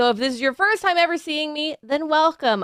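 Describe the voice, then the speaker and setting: In a very clean recording with a silent background, a woman with an American accent speaks at a very fast pace in a raised, projected voice, her tone bright and sharp and her intonation lively. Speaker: content creator, streamer. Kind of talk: promotional testimonial.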